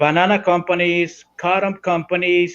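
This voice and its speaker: A man's high-pitched voice with a Spanish accent, at a fairly slow pace. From Nicaragua, Caribbean coast (Miskito community). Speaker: Sandinista political guest. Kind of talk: podcast interview. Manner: halting, many fillers and restarts.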